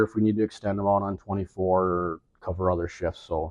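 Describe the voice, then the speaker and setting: A normal speaking voice from a man, fairly quick in pace with fairly even intonation. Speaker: EMS manager. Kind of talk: informal presentation.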